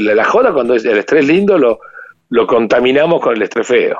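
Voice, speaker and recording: A man's fairly high voice in a Rioplatense accent, very fast, with very wide pitch swings. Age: 50s. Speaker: business owner and economist. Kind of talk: interview. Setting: phone call. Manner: animated.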